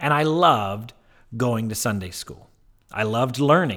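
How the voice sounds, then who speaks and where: In a very clean recording with a silent background, a man with an American accent talks at a moderate pace with very wide pitch swings. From US South, Mississippi. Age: 30s. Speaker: educator podcast host. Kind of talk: personal narrative monologue.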